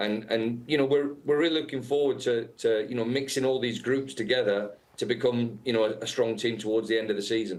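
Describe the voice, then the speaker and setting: Here a man talks with a British accent. He moves at a fairly quick pace with fairly even intonation. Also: medium pitch for a man. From England. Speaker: football head coach. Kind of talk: interview. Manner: halting, many fillers.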